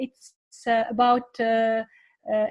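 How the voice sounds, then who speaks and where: A woman speaks very slowly in a high pitch with a non-native accent. The sound is dry and close, with no echo. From Tunisia. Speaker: teacher. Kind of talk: panel discussion. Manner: halting, many fillers.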